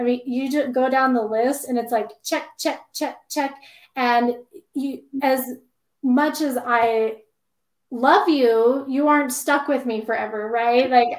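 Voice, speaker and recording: Her pace is very slow. This woman's high voice keeps a fairly even intonation. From Idaho, US. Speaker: dental hygienist and consultant. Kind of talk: interview. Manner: loud.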